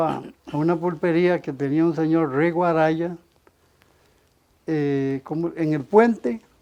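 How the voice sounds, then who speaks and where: A man's high-pitched voice with a dark, mellow tone, ordinary pitch variation and a moderate pace. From Costa Rica, Zarcero. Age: 70s. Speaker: former footballer. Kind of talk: interview storytelling.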